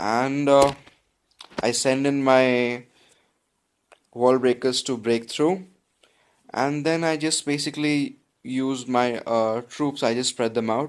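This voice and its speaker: A man with an Indian accent talks at a very slow pace, leaving long, frequent pauses. His pitch is medium and his intonation fairly even. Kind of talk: casual gameplay commentary. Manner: casual, chatty.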